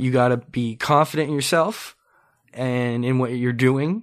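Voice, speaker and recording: A man speaks at a medium pitch in a normal speaking voice, with a Canadian accent and fairly even intonation. The recording is very clean, with a silent background. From Ontario, Canada (Mississauga). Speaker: podcast host. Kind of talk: casual interview chat. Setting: studio.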